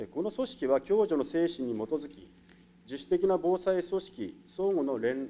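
This man talks at a moderate pace with a dark, mellow tone and lively intonation. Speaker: municipal department director. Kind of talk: formal prepared answer. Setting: council chamber. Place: meeting room. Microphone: podium.

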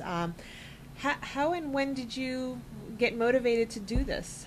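A woman at a moderate pace, with ordinary pitch variation and light background noise. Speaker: web show host. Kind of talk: interview. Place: studio. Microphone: studio mic.

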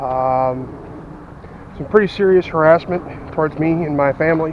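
Intonation stays fairly even. The sound is dry with no echo, with light background noise. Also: man. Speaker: vlogger. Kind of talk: casual vlog chat. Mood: subdued, then curious. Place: forest. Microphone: phone near.

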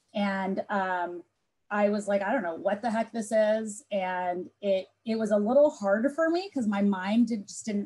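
A woman with a fairly high pitch and a dark, mellow tone speaks at a fairly slow pace. Her voice is somewhat breathy over a quiet background. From Southern California. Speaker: tech business executive; panelist. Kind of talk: panel discussion. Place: home room. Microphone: earbuds.

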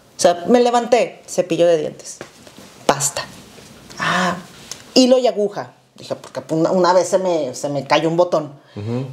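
A woman's fairly low voice with very wide pitch swings, a fairly slow pace, and long, frequent pauses. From Mexico. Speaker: podcast co-host. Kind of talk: casual chat. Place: home room. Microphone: lapel.

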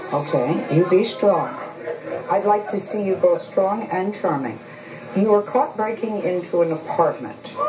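A woman speaks at a fairly slow pace with clear music playing in the background. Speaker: talk show host. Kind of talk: talk show host questioning guests. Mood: firm, confronting. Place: studio.

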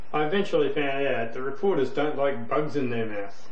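A man talks at a moderate pace with ordinary pitch variation, and audible room echo hangs around his voice. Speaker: web show host. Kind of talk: casual vlog commentary. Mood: dry joking tone. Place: home room. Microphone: webcam.

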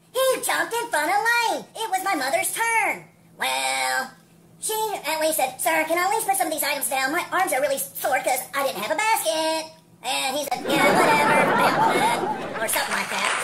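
A cartoonish character voice is talking. Its pitch is high and its pace moderate. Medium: puppet.

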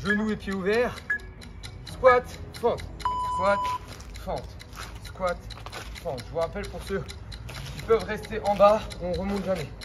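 A man at a fairly slow pace, with long, frequent pauses, big swings in loudness, and clear music in the background. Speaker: fitness coach. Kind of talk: workout instruction. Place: street.

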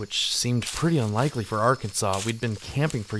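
The passage is read aloud in a natural voice.

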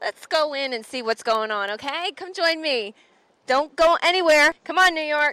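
In a raised, projected voice with a bright, sharp tone, a woman speaks at a moderate pace, the sound dry with no echo and the background quiet. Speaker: show host. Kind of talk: casual TV host presentation. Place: hall. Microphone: handheld.

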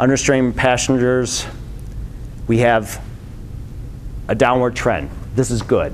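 A man talks at a fairly slow pace in an American accent. His flat, monotone delivery comes over light background noise. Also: medium pitch for a man. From Michigan, Detroit; Michigan. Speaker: transportation planner; presenter. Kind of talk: presentation. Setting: lunch talk with live audience. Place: meeting room.

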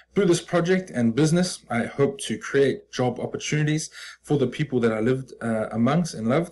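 A man in a New Zealand accent, fairly quick, with lively intonation and light background noise. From New Zealand, Auckland. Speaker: business student. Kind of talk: presentation pitch. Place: home room. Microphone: webcam.

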